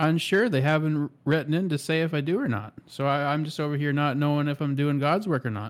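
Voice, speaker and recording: A man with a plain, everyday voice talks at a fairly high pitch and a fairly quick pace, with ordinary pitch variation and hardly any pauses. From Canada. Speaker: podcast co-host. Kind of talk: casual chat.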